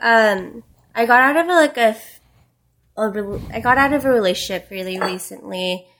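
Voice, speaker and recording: An ordinary speaking voice from a woman, fairly high in pitch, at a moderate pace, with ordinary pitch variation and big swings in loudness. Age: 20s. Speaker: digital marketer and social media influencer. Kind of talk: casual chat.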